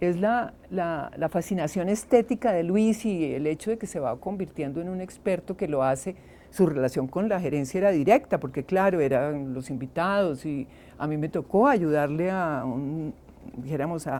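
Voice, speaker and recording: This woman has a fairly low voice with a dark, mellow tone. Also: lively intonation, moderate pace. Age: 70s. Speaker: archaeologist. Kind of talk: interview. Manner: halting.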